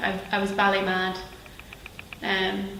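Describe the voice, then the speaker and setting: A woman with a Northern Irish accent speaks at a medium pitch. Noticeable background noise and audible room echo fill the recording. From Northern Ireland, Belfast. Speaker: actress. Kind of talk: interview.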